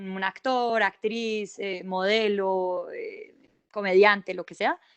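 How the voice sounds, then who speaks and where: At a very slow pace, a woman of medium pitch speaks with fairly even intonation and big swings in loudness. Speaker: journalist. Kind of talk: panel discussion.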